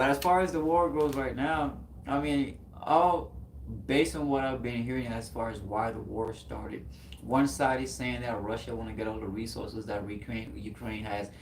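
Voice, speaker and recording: A man speaks with a Haitian accent. His intonation is lively. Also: medium pitch for a man, moderate pace. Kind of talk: casual, conversational.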